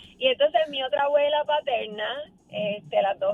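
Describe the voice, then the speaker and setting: A woman speaks with music in the background. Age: 60s. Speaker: caller. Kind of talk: phone-in anecdote.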